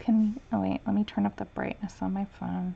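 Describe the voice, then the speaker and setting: A woman with an unremarkable speaking voice talks with lively intonation. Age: 30s. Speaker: coloring artist streaming a tutorial. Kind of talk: live-stream coloring tutorial. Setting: live stream with chat. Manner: casual, chatty with filler words.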